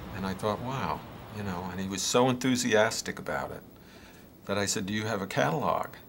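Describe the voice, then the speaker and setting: Ordinary pitch variation and a fairly quick pace come with noticeable background noise and audible room echo. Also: man. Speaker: senior college student. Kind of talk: anecdote in interview.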